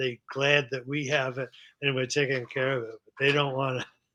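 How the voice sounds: Speaking at a fairly quick pace, a man with a medium-pitched voice has a bright, sharp tone and little pitch movement.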